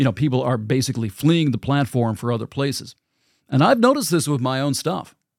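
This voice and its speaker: A man with an ordinary speaking voice, fairly high in pitch, speaks at a fairly quick pace with ordinary pitch variation. The recording is very clean, with a silent background. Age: 50s. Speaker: podcast host. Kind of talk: casual monologue. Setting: home studio in a basement.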